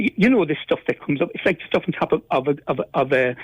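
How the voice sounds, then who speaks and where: A high-pitched man with a Cork accent and very wide pitch swings. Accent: Cork Irish. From Ireland, East Cork. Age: 70s. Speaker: caller, local resident. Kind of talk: radio phone-in. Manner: halting, repeats words.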